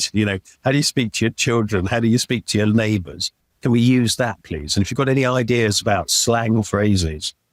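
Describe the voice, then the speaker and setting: Speaking in an RP accent at a fairly quick pace, a man with a medium pitch and ordinary pitch variation sounds dry and close with no echo on a very clean recording with a silent background. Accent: RP-like. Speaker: video game company CEO. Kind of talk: interview. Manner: halting, repeats words.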